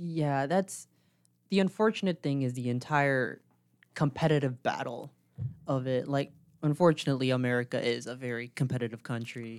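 Recorded very cleanly against a silent background, a man speaks in an ordinary speaking voice at a moderate pace with ordinary pitch variation. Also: medium pitch for a man. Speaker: podcast co-host. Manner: casual, filler-heavy.

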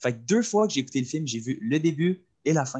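A man with a Quebec accent, dark and mellow in tone, speaking at a very fast pace. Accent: Québécois French. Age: young. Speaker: cégep student, podcast co-host. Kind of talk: casual chat.

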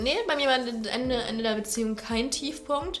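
Ordinary pitch movement at a moderate tempo, with clear background noise. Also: woman. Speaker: longtime friend of the host. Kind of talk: casual chat.

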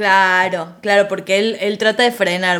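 A woman speaks at medium pitch. Her pace is moderate, with noticeable background noise behind her. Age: 40. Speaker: psychologist. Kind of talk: casual chat.

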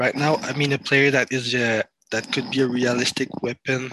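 A man with a French accent, recorded with a dry, close sound and no echo. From France. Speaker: sports content creator. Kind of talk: casual chat. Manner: halting.

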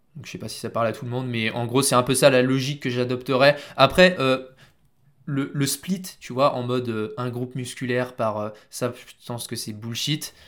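An ordinary speaking voice from a man at a medium pitch and moderate pace, with fairly even intonation and big swings in loudness. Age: 20s. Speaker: strength and conditioning coach. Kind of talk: casual chat.

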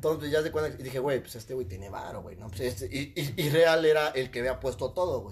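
This man speaks at a fairly quick pace with hardly any pauses, at medium pitch and with a somewhat breathy voice. His intonation is lively, and his loudness swings widely. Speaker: psychologist. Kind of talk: casual chat.

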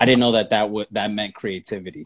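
A man speaks at a fairly quick pace with a fairly low pitch and an American accent. Music plays in the background. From New York, the Bronx. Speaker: digital marketing consultant. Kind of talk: interview.

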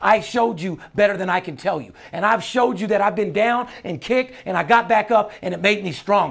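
Animated and fairly quick with hardly any pauses, a man speaks in a high voice with ordinary pitch variation and big swings in loudness. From Las Vegas. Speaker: sports betting handicapper and podcast host. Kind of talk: casual chat; sales pitch.

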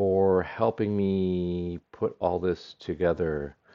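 A man talks at a very slow pace with a fairly low pitch. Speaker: podcast host. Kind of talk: solo monologue. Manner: rambling, hesitant with fillers.

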